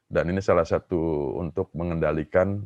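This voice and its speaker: A man with an Indonesian accent is heard in a dry, close recording with no echo. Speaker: professor. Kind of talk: conference Q&A answer. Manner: halting, many fillers.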